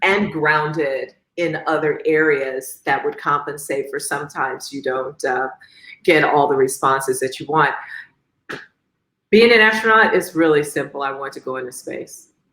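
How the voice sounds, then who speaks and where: Talking at a moderate pace with an American accent, a woman uses a very deep, low pitch, a bright, sharp tone, ordinary pitch variation and big swings in loudness. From Chicago, Southside. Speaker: astronaut, engineer, physician. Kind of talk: interview answer. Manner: warm, humorous, confident.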